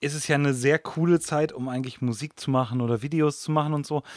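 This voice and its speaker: In a very clean recording with a silent background, a man with a normal speaking voice talks at a fairly quick pace and a fairly high pitch, with fairly even intonation. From Germany. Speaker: guitarist in a soul band. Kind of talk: casual chat. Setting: studio.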